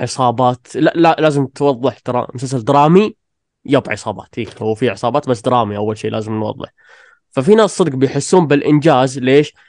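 Lively intonation carries a plain, everyday voice, recorded with a dry, close sound and no echo. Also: man. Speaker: listener guest. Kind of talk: casual chat.

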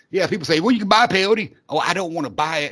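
A man speaks fast and high-pitched, with a fairly bright tone and ordinary pitch variation.

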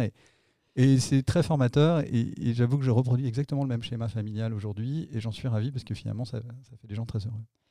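A man with a dark, mellow tone and medium pitch speaks at a very fast pace with fairly even intonation in a very clean recording with a silent background. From France, Nantes. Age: 40s. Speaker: company executive. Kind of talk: interview. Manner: hesitant, repeats words.

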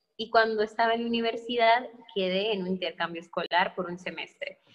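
In a plain, everyday voice, a woman speaks at a fairly high pitch and a moderate pace. Her loudness swings widely. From northern Mexico, Sonora. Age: 20s. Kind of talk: testimony.

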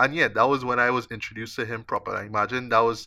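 A man in a Trinidadian accent, medium in pitch, with a bright, sharp tone and a fairly quick pace, on a very clean recording with a silent background. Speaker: podcast host, film critic. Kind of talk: casual chat.

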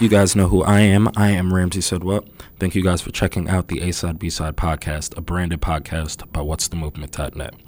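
With a New Jersey accent, a man speaks at a fairly quick pace in a very deep, low pitch and fairly even intonation. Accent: New Jersey American English. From Neptune, New Jersey. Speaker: podcast host and music writer. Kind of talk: casual interview.

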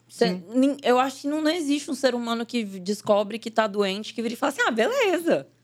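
A woman speaks at a fairly quick pace in a high pitch, her tone animated. Her intonation is lively. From Brazil, northern Minas Gerais (Salinas). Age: 20s. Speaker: actress and digital influencer. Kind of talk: casual chat.

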